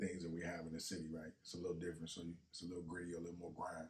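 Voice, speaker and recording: A somewhat breathy voice speaks very fast in a flat monotone. Audible room echo surrounds it. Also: man. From US South, Natchez, Mississippi. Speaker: rapper. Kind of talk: casual chat.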